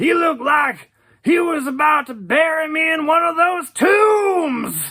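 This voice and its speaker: In a put-on character voice pitched high, the speaker shouts at a fairly slow pace. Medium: audio drama. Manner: rambling, casual, many hesitations.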